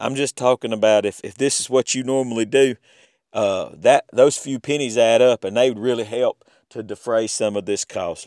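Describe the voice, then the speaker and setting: In an American accent, a man speaks at a moderate pace in a medium-pitched voice with fairly even intonation, the sound dry and close with no echo. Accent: Southern US, stronger than usual. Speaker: podcast host. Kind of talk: podcast outro. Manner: casual, halting with fillers.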